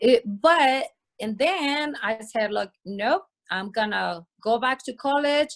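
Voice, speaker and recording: Recorded dry and close with no echo, a woman with a Spanish accent speaks very slowly at a high pitch with lively intonation. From Mexico, Sonora. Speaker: interview guest. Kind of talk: casual interview conversation.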